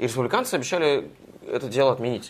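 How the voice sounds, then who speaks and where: A man talks at a fairly quick pace. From Russia. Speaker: journalist, US correspondent. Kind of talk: interview.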